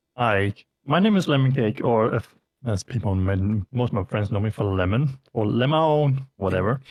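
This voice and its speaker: Very even in loudness, a man's medium-pitched voice moves at a moderate pace with lively intonation. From Denmark. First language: Danish. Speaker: variety streamer and VTuber. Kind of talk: casual interview. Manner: halting, many fillers.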